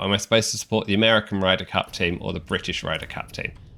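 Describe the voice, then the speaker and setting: A man with an English accent and a bright, sharp tone shows ordinary pitch variation in a very clean recording with a silent background. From England. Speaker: video game streamer. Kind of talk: live gameplay commentary. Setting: live stream. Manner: casual, conversational.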